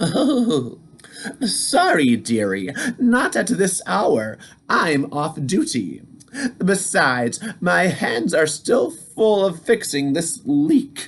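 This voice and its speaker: This is a put-on character voice at a middle pitch. The pace is very slow. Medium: read story. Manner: warm, fussy.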